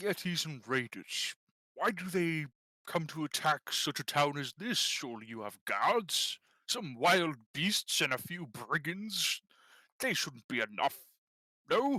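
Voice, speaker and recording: A put-on character voice at middle pitch moves at a fairly slow pace on a very clean recording with a silent background. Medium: actual play. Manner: gruff, blustering.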